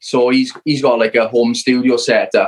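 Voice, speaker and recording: Fairly slow speech in a South Wales accent comes through with a dry, close sound and no echo. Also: man. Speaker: rock band member. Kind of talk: casual interview chat. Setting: video call.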